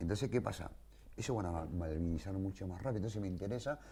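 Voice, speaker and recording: A man speaks very fast in a somewhat breathy voice with a dark, mellow tone and lively intonation. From Greater Buenos Aires, Argentina. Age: 60s. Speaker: war veteran. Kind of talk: interview testimony.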